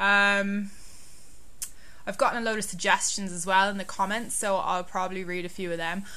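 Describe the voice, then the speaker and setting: A woman's medium-pitched, bright, sharp voice with a slight Irish accent, monotone, flat intonation, a moderate pace, long, frequent pauses, and audible room echo. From Ireland, Dublin. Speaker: travel blogger. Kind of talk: casual explanatory vlog.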